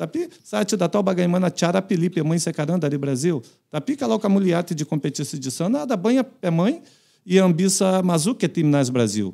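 A man talks very fast in a high voice with a dark, mellow tone. His intonation is lively, and the background is quiet. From Brazil. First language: Portuguese (speaking Indonesian). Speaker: retired footballer and coach; guest. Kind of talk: casual interview. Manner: halting. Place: studio. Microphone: studio mic.

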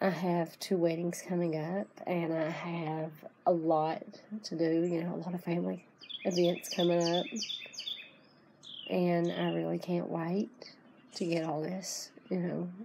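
Over noticeable background noise, a woman speaks at a fairly low pitch and a fairly slow pace. Her intonation is monotone and flat, with long, frequent pauses. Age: adult. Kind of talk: casual talk to camera.

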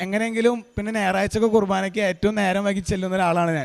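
This man's voice is high in pitch. His delivery stays fairly even in intonation. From Kerala, Ernakulam district (Angamaly). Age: 20s. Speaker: churchgoer giving testimony. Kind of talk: testimony.

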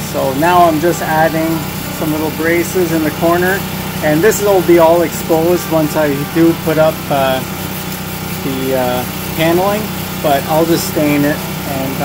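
Loud background noise fills the recording. The speech has long, frequent pauses. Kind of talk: tutorial. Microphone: phone near.

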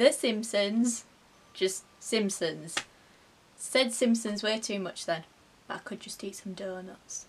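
A woman with a Yorkshire accent speaks very slowly in a somewhat breathy voice, pausing long and often. Her pitch varies in an ordinary way, her loudness swings a lot, and light background noise is present. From Yorkshire, England. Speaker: vlogger. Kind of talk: casual talk to camera. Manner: chatty, humorous. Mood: playful, humorous storytelling. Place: home room. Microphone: phone near.

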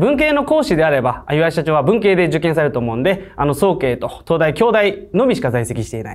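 His pace is fairly quick. The man's fairly high voice moves through very wide pitch swings. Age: 20s. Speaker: online tutoring school head. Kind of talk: sales pitch. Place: studio.

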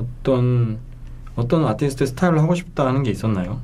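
With lively intonation, a man speaks in an unremarkable speaking voice at a medium pitch. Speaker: radio host. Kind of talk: casual interview chat. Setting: studio.

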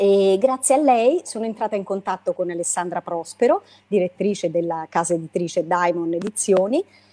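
Ordinary pitch variation moves through a dark, mellow tone. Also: woman, medium pitch for a woman, moderate pace. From Italy, L'Aquila (Abruzzo); Abruzzo, Italy. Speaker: poet and lawyer; poetry book author. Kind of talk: book presentation interview; interview answer. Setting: video call. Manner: halting. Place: home room. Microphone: video call.

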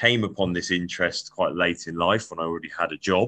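A man talks at a fairly quick pace in a very deep, low pitch. His tone is bright and sharp against a quiet background. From Devon, England. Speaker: podcast host. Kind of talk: casual interview. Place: home room. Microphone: video call.

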